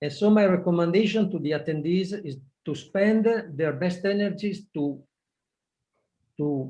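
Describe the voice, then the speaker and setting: Audible room echo surrounds a man with a high pitch. He speaks at a fairly slow pace with ordinary pitch variation. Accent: Italian. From Italy. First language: Italian. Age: 60s. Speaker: project management expert. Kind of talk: webinar talk. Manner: halting.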